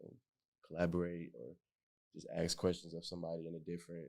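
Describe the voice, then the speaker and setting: The man's pitch is very deep and low. His tone is dark and mellow. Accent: American. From Detroit. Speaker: painter. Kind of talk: artist talk panel.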